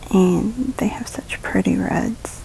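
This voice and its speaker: Against noticeable background noise, a woman talks with an American accent. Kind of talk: beauty vlog voiceover. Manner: casual, chatty.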